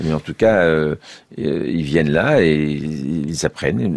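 A man at a very deep, low pitch in a dry, close sound with no echo. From France, Aube (Troyes area). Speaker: trombonist and orchestra conductor. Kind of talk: radio interview. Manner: hesitant, many fillers and repetitions.

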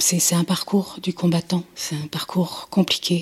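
At a very slow pace, a woman speaks in a fairly low, somewhat breathy voice with monotone, flat intonation. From Nantes, western France. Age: 60s. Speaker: mother of kidnapped newborn. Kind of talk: testimony.

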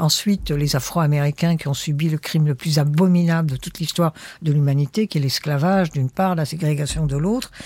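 At a fairly quick pace, a woman speaks in a dark, mellow, somewhat breathy voice with a fairly low pitch and ordinary pitch variation. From Egypt. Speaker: writer and former radio producer. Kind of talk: interview.

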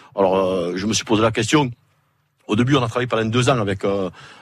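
This man speaks with a fairly low pitch. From southern France, Sète. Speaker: fisherman. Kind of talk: live radio interview. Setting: outdoor broadcast in a fishermen's hut. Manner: halting, repeats words.

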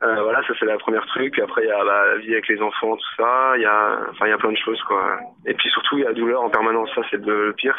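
A man talks very fast while noticeable background noise carries on. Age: 20s. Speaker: injured protester. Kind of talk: testimony. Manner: halting.

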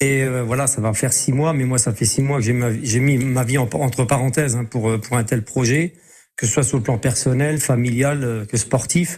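A man talks at a moderate pace in a medium pitch. His voice is somewhat breathy, with fairly even intonation. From Lorraine, Moselle (Metz). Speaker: race walker, former champion athlete. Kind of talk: radio interview. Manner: halting, many repetitions.

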